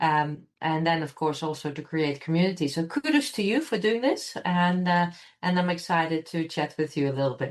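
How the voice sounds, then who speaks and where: The speaker talks at a moderate pace in a Dutch accent with ordinary pitch variation. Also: woman, fairly low pitch for a woman, hardly any pauses. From Netherlands. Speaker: computational scientist. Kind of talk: interview. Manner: hesitant, many fillers.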